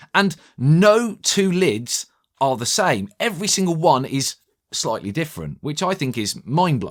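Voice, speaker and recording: An enthusiastic man at a fairly high pitch, with very wide pitch swings and a fairly slow pace, on a very clean recording with a silent background. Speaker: tech reviewer. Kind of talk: product review. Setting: studio.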